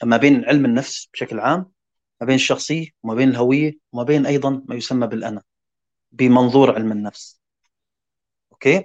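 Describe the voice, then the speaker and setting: Leaving long, frequent pauses, a man speaks at a moderate pace and medium pitch with ordinary pitch variation. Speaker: podcast panelist. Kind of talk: casual chat.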